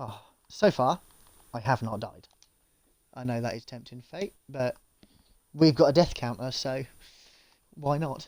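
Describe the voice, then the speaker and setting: The speaker mumbles at a fairly slow pace, with long, frequent pauses and ordinary pitch variation. Loudness swings widely. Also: man. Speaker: gaming streamer. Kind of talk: live gameplay stream. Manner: mumbling; casual, chatty.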